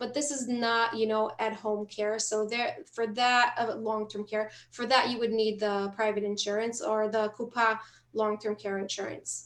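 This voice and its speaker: A woman's fairly high voice, monotone and flat, with hardly any pauses and noticeable background noise. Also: moderate pace. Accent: non-native. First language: not English. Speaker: health clinic staff. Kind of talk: webinar Q&A. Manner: halting.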